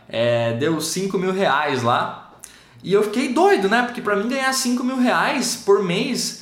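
Noticeable noise sits behind speech that goes along fairly slowly. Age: 20s. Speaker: online course creator. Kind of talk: testimony.

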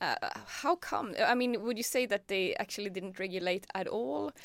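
A woman speaks with a Swedish accent. The sound is dry and close, with no echo. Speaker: podcast host. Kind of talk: interview. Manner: halting.

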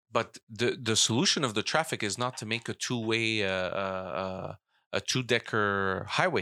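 Bright and sharp in tone, a man talks at a moderate pace and medium pitch with ordinary pitch variation. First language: not English (English is third language; French schooling). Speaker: politician. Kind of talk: casual chat.

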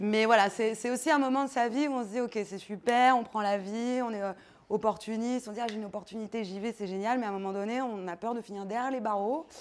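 A woman talks very fast in a fairly high pitch, her intonation fairly even. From Paris, France. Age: 30s. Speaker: nonprofit director. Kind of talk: live talk to an audience.

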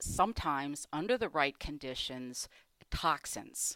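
In a bright, sharp tone, a woman's pitch swings very widely on a very clean, silent-background recording that sounds dry and close with no echo. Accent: American. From Michigan, US Midwest. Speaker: economics professor. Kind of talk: interview.

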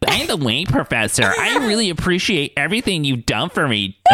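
Using a put-on character voice, a man talks at a fairly quick pace in a fairly high pitch with very wide pitch swings. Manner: sincere, earnest, grateful.

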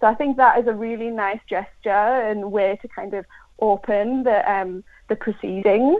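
A woman talks with an English accent. Her pace is moderate and her pitch varies in an ordinary way. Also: fairly high pitch for a woman. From England. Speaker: primary school teacher. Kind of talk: live radio interview.

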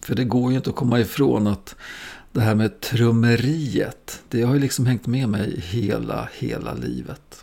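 With a dark, mellow tone, a man speaks fairly slowly at a medium pitch and with fairly even intonation. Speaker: podcast host, drummer. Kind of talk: scripted narration.

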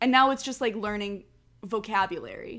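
A woman with a fairly high pitch talks at a moderate pace with ordinary pitch variation on a very clean recording with a silent background. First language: Spanish. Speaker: podcast guest. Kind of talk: casual chat.

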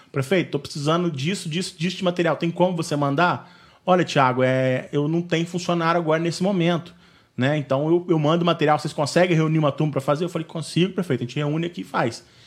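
A man's fairly high voice at a fairly quick pace with ordinary pitch variation, an ordinary speaking voice. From Valença, Rio de Janeiro state, Brazil. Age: 30s. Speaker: neighborhood association president. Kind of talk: interview. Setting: video call.

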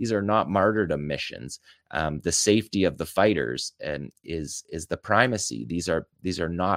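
On a very clean recording with a silent background and a dry, close sound with no echo, a man with a very deep, low pitch and vocal fry speaks at a moderate pace with lively intonation. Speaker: military analyst. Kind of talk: video analysis commentary.

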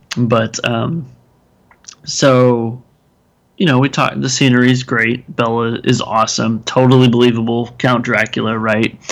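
At a moderate pace, a man with an American accent keeps very even loudness and fairly even intonation. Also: medium pitch for a man. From Texas. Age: 30s. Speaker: podcast co-host, film reviewer. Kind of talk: casual chat. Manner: hesitant, many fillers and restarts.

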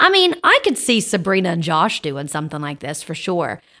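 In a Southern US accent, a woman speaks with a bright, sharp tone on a very clean recording with a silent background. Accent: US South. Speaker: podcast host. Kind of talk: casual chat. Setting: studio. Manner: loud.

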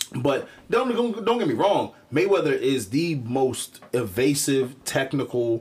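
Barely pausing, a man with an American accent and a fairly high pitch talks in an animated, somewhat breathy tone, his pitch swinging very widely. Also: fairly slow pace. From Philadelphia, US. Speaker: podcast host. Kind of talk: casual chat.

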